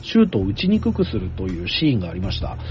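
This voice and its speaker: A man's pitch swings very widely as he speaks. Noticeable background noise runs underneath. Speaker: podcast host and anime commentator. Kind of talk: casual discussion.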